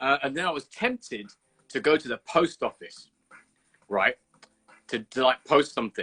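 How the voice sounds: A man talks at a medium pitch and a moderate pace, with lively intonation. His tone is bright and sharp, with a slightly husky edge.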